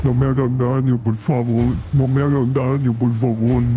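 Clear background noise runs under a man's put-on character voice. His pitch is medium and his pace moderate. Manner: confused, pleading, bewildered.

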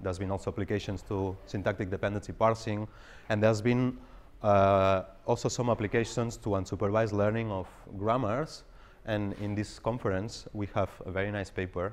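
Fairly quick and monotone, a man talks with flat intonation at a fairly low pitch. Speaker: presenter. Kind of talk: lecture. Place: hall.

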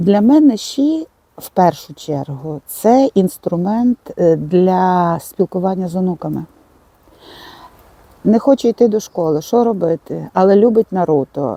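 Her tone dark and mellow, a woman of medium pitch talks at a fairly slow pace with very wide pitch swings, in a dry, close sound with no echo. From Ivano-Frankivsk, western Ukraine. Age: 60s. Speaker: blogger and digital mentor for seniors; retired mathematics teacher. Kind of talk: interview answer. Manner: casual, conversational.

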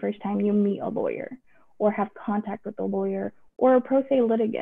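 A woman's unremarkable speaking voice, fairly high in pitch, with an American accent, at a moderate pace over a quiet background. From Texas. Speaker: judge. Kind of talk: informational video update to the public. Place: office. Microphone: video call.

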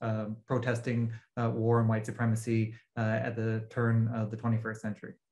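A somewhat breathy man's voice at a moderate pace over a quiet background. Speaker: guest. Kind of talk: interview answer. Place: home room. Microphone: video call.

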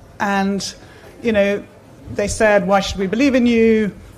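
At a moderate pace, a woman talks. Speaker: speaker. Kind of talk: conference talk. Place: tent. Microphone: podium.

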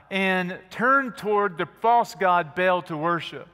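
Against a quiet background, a man uses a raised, projected voice with a bright, sharp tone and a high pitch. He keeps a moderate pace with ordinary pitch variation. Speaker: preacher, church minister. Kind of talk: church sermon. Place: church. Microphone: headset.

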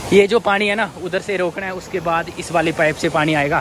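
The speech runs at a moderate pace with a dry sound and no echo. Noticeable background noise is present. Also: man. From Jammu and Kashmir. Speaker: village vlogger. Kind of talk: casual vlog talk to camera. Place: open country. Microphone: phone near.

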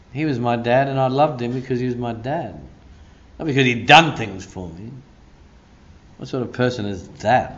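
Speaking with an Australian accent, a man uses an animated tone at a medium pitch and moderate pace, with ordinary pitch variation and long, frequent pauses. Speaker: pastor. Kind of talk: sermon. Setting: church. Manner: preacherly, rousing, call-and-response.

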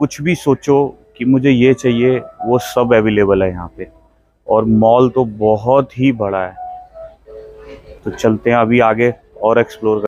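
A man's medium-pitched, slightly mellow voice at a fairly slow pace, with fairly even intonation and faint music in the background

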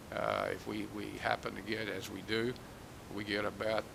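A man with a North Carolina accent talks in a room with audible echo. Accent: North Carolina Southern. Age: 70s. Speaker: economic development executive. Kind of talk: public meeting presentation. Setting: public meeting hall. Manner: halting, frequent repetitions.

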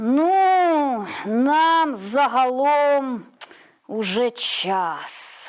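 A female-sounding, put-on character voice, high-pitched and hissing, with a menacing tone. It moves at a very slow pace. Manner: hissed, menacing, through teeth.

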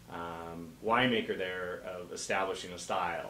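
With an American accent, the speaker keeps a moderate pace amid light background noise and audible room echo. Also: man. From Oregon coast (Bandon); Oregon. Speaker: guest. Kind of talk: interview. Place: shop.

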